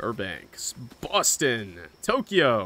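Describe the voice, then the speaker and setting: The pitch of this man's voice sits fairly high. He talks very slowly. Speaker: gaming streamer. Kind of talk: live stream gameplay chat. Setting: live stream with game audio and co-players.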